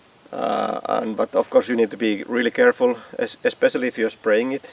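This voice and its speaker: A man with a Finnish accent speaks at a moderate pace. The sound is dry and close with no echo, though background noise is noticeable. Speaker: DIY builder. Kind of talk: tutorial. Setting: outdoors. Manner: halting.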